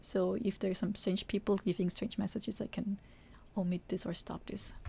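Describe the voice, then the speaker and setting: This speaker has a non-native accent and a moderate pace. The recording is very clean, with a silent background. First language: not English. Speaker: Japanese teacher and Vtuber streamer. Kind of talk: live stream cooking tutorial. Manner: halting, many fillers.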